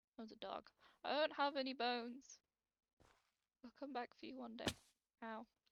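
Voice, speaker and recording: A woman with a British accent and a fairly high pitch speaks at a moderate pace, with vocal fry in her voice. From Britain. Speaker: gaming YouTuber. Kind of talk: let's play commentary. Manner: animated.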